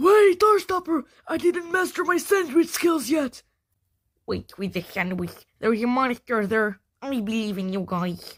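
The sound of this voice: A woman does a cartoonish character voice, high-pitched with very wide pitch swings, at a moderate pace in a very clean recording with a silent background.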